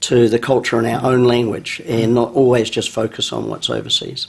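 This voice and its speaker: A man with a New Zealand accent speaks in a flat monotone at a medium pitch and a moderate pace. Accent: New Zealand, kept intact. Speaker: business school founder. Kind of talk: radio interview.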